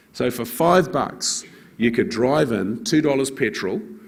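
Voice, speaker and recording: A man with a New Zealand accent and lively intonation. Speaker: fund manager. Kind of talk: conference talk.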